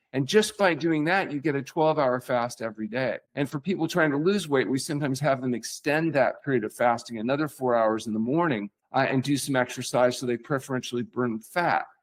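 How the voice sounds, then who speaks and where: A man with a normal speaking voice talks at medium pitch and a fairly quick pace, with hardly any pauses and ordinary pitch variation. The recording is very clean, with a silent background. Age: 60s. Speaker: physician. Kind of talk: podcast interview.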